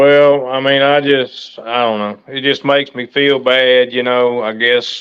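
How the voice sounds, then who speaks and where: A man with a Southern US accent talks at a fairly slow pace with hardly any pauses. His medium-pitched voice stays monotone and flat. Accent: US South. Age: 60s. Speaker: livestream host. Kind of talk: casual chat.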